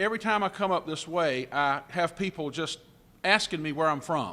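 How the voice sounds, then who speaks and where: Lively intonation and a bright, sharp tone carry this voice in a South Carolina accent at a moderate pace. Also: man. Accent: Southern (South Carolina). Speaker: motivational speaker. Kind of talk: after-lunch keynote speech with humor. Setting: convention center banquet hall with audience. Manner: warm, friendly, upbeat.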